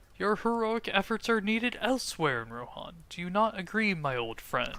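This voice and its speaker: Putting on a character voice, a man speaks at a moderate pace in a high pitch. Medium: game stream. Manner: smooth, persuasive.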